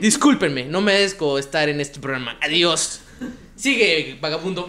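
Noticeable background noise behind a man speaking at a moderate pace, his pitch swinging very widely. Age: 20s. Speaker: comedy podcast host. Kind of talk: casual comedic chat.

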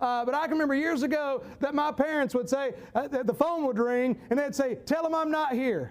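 An animated man with a Southern US accent, extremely high pitch, ordinary pitch variation, a fairly quick pace, hardly any pauses and very even loudness. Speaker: preacher. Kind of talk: sermon.

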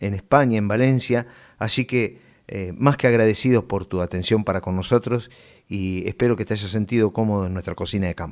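A man speaks with an Argentine accent. The recording is very clean, with a silent background. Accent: Rioplatense Argentine Spanish. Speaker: radio host. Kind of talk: interview.

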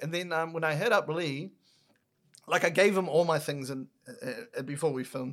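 Talking at a fairly quick pace, a man speaks with an Auckland accent. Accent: New Zealand (South Auckland). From New Zealand, South Auckland. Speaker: podcaster and content creator. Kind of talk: casual chat.

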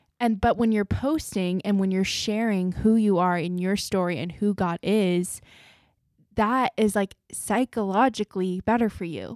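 In an unremarkable speaking voice, a woman talks at a fairly slow pace with medium pitch and ordinary pitch variation, the sound dry and close with no echo. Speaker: podcast host. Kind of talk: casual chat.

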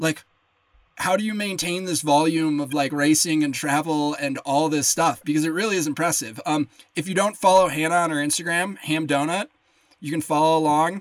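Fairly quick and fairly even in intonation, a man with a Midwestern US accent speaks at a fairly high pitch. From Lake Geneva, Wisconsin. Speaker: podcast host. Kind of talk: casual interview chat.

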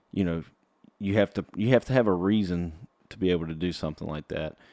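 With a Southern US accent, this voice has a dark, mellow tone, a moderate pace and ordinary pitch variation. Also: man, very clean recording, silent background. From South Carolina. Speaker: country singer-songwriter and podcast host. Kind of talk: casual solo podcast talk. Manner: casual with many fillers.

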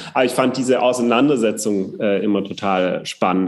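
Here is a normal speaking voice from a man, pitched fairly low. He talks at a moderate pace with ordinary pitch variation. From southern Germany, Upper Swabia. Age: 30s. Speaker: politician. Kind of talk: casual interview.

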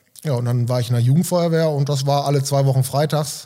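Recorded very cleanly over a silent background, a man speaks fairly quickly at a fairly high pitch, his somewhat breathy voice dark and mellow in tone, with fairly even intonation. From Germany, East Westphalia (Delbrück/Hövelhof area). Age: 30s. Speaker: volunteer firefighter and gym member. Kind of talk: casual interview.

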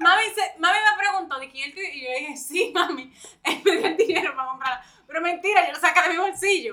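The voice is raised and projected, moving at a fairly quick pace. Its loudness swings widely while pitch variation stays ordinary. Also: woman, extremely high pitch for a woman. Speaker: podcast guest. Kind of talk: casual chat.

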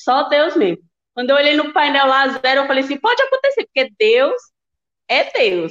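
Recorded dry and close with no echo, a woman speaks in a high voice at a moderate pace. Her pitch swings very widely while her loudness stays very even. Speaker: listener, kidney patient and mother. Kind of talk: casual chat. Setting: video call from hospital bed.

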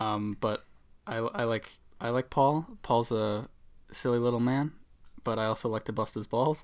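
On a very clean recording with a silent background, a man with a Boston accent speaks at a moderate pace. His medium pitch holds fairly even, broken by long, frequent pauses. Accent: Boston accent, dropped R's. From Boston area, US. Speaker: podcast co-host. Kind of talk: casual comedic banter. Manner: joking, sarcastic.

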